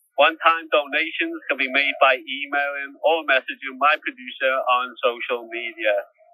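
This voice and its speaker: This man speaks in a Liverpool accent at a fairly high pitch. His intonation is monotone and flat, at a moderate pace. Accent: Scouse. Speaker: prisoner podcaster. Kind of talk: podcast outro appeal. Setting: prison cell by phone.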